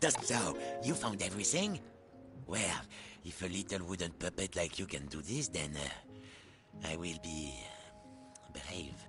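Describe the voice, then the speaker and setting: A put-on character voice with long, frequent pauses over clear music in the background. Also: man, very deep, low pitch for a man, fairly slow pace. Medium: video game. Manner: rude, fussy.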